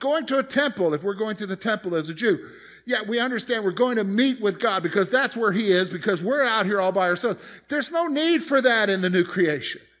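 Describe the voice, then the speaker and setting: Very fast speech from a man with an American accent, high in pitch, with lively intonation, on a very clean recording with a silent background. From US South, South Carolina (Columbia). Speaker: pastor. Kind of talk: sermon. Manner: conversational.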